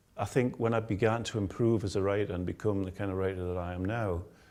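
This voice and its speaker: A fairly low-pitched male voice with a dark, mellow tone and a Geordie accent, with fairly even intonation and a fairly quick pace, on a very clean recording with a silent background. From northern England, Tyneside. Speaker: author. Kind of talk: interview.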